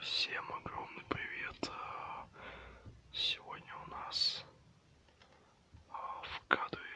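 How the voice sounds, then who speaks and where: A man whispering. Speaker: ASMR creator. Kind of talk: ASMR video, casual talk to camera. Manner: whispered.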